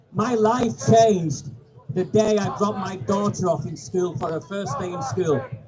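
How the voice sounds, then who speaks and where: Over noticeable background noise, a man talks at a moderate pace and a high pitch. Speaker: campaigner, ex-serviceman. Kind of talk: public speech. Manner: quiet-spoken.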